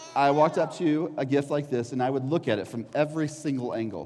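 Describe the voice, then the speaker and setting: Noticeable background noise accompanies a man delivering his words at a very fast pace. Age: 30s. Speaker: children's pastor. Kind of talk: children's sermon. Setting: church. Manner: animated.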